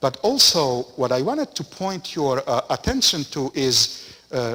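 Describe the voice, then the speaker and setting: A man speaks at a fairly slow pace. He has a strong non-native accent. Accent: thick foreign. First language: not English. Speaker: parish priest. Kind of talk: lecture. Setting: parish center.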